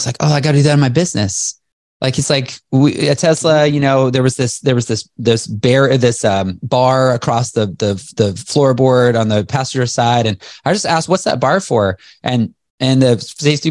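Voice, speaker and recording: A man with a normal speaking voice at a medium pitch, fairly quick pace and ordinary pitch variation. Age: 40s. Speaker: entrepreneur and motivational speaker. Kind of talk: interview. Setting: video call.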